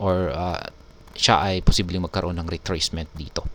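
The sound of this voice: A man speaks in a low voice. His intonation stays fairly even.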